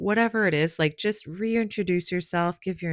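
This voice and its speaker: A woman with a normal speaking voice and an American accent talks at a fairly low pitch and moderate pace, with ordinary pitch variation, in a dry, close sound with no echo. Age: 40s. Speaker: podcast host, executive assistant. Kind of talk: casual podcast monologue. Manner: conversational, many fillers.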